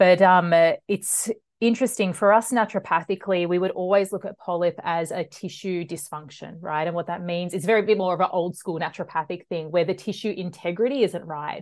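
A woman talks at a fairly quick pace with a medium pitch. Her intonation is fairly even over a quiet background. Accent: Australian. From Australia, western suburbs of Melbourne. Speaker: naturopath. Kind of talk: interview conversation.

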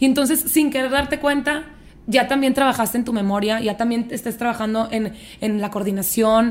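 At a moderate pace, a woman with an unremarkable speaking voice talks in a fairly high pitch with ordinary pitch variation. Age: 30s. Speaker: fitness trainer. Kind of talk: casual chat.

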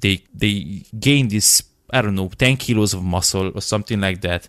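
At a moderate pace and fairly low pitch, a man speaks in a plain, everyday voice with ordinary pitch variation, recorded very cleanly against a silent background. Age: 20s. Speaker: podcast host and fitness coach. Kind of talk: casual interview chat.

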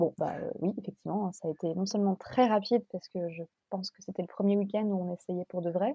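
A somewhat breathy woman talks at a medium pitch and a fairly quick pace, with fairly even intonation. Her loudness swings widely, and the sound is dry and close with no echo. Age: 30s. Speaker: mother sharing birth story. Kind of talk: testimony.

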